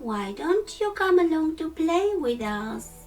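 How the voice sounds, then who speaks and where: Over clear music in the background, a woman uses a put-on character voice of extremely high pitch with very wide pitch swings at a fairly slow pace. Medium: read story. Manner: bouncy, teasing.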